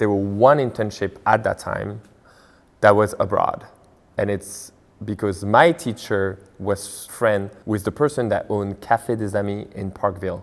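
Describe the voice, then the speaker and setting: A man talks at a fairly slow pace with a French accent. His pitch is fairly low, with ordinary variation. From France. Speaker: restaurant owner. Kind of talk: interview.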